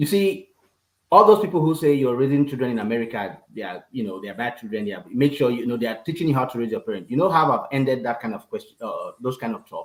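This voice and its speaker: Delivered at a very fast pace in a Nigerian accent, the speech has lively intonation. Loudness rises and falls in big swings. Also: man, medium pitch for a man. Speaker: father, parenting guest. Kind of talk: casual chat.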